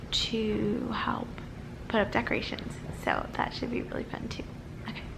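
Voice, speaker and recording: A woman speaks quietly amid noticeable background noise and audible room echo. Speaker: vlogger. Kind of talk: casual vlog.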